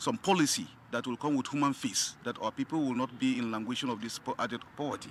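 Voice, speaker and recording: Over light background noise, a man talks at a very fast pace. The sound is dry with no echo, and his pitch varies in an ordinary way. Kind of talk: press interview answer. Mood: earnest, reassuring. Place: street. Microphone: handheld.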